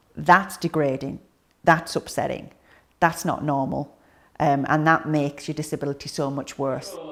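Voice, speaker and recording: A woman speaks at a moderate pace in a very deep, low voice with vocal fry, on a very clean recording with a silent background. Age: 30s. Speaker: paraplegic catheter user, mother. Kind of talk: testimony.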